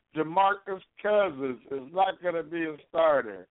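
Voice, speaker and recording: A fairly high-pitched man with an American accent, speaking at a fairly slow pace with lively intonation. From Chicago, US Midwest. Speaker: internet radio host. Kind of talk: call-in talk show, casual sports chat. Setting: phone call-in show. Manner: halting with repeated fillers.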